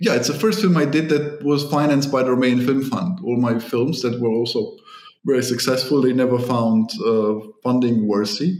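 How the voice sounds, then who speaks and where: With music in the background, a man talks in a fairly high pitch with ordinary pitch variation and very even loudness. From Germany. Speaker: film director. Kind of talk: interview.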